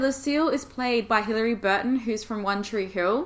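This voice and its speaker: With a slight Australian accent, a woman talks at a fairly quick pace in a fairly high pitch and an animated tone. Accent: mild Australian. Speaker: YouTuber. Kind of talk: casual monologue.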